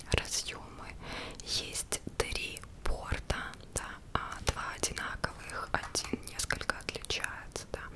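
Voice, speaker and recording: A very slow pace beneath loud background noise. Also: woman. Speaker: product reviewer. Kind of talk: soft-spoken product review. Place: home room. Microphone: studio mic.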